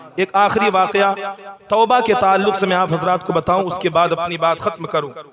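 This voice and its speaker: A man speaks in a high pitch with ordinary pitch variation. Background noise is noticeable. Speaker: Islamic preacher. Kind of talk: religious sermon.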